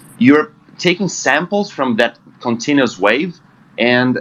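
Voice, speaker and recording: A man speaks with a Portuguese accent and lively intonation. His pace is fairly slow. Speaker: trading group member. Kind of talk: group discussion. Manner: halting.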